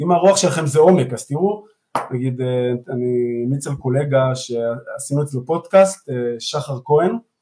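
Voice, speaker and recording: A man talks with lively intonation. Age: 40s. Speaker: therapy method co-founder. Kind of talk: live interview. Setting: online live stream. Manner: halting, many repeated words.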